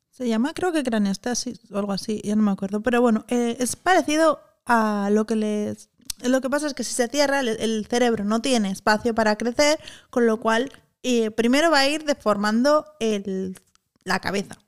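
A woman's fairly high voice, moderate in pace and with ordinary pitch variation, on a very clean recording over a silent background. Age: 40s. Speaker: podcast co-host. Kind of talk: casual chat.

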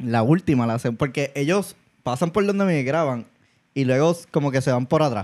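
A man with an ordinary speaking voice talks at a fairly high pitch and a moderate pace, with lively intonation and very even loudness. The recording is very clean, with a silent background. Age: 40s. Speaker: podcast co-host. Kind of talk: casual chat.

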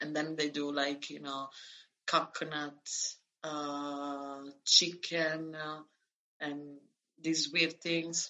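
A woman with an Italian accent speaks at a very slow pace in a very deep, low pitch, her intonation monotone and flat, with long, frequent pauses. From Italy (born in Calabria, raised near Florence). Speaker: expat living abroad. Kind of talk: casual interview.

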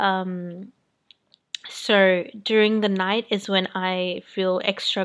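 Very slow and monotone with flat intonation, a medium-pitched woman speaks on a very clean recording against a silent background. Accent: Australian. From New Zealand. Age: 20s. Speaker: lifestyle podcaster. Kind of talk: solo monologue podcast. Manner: hesitant with many fillers.

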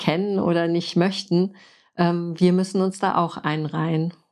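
A woman's fairly low voice at a very slow pace with fairly even intonation. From Frankfurt, Germany. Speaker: podcast host and permaculture designer. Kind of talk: interview.

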